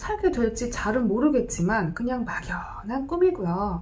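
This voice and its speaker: At a very slow pace, a woman's high-pitched voice moves through very wide pitch swings. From Gyeongsang region, South Korea (born in Busan). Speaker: YouTuber and retired landlord; YouTuber. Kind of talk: casual vlog monologue. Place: home room. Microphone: phone near.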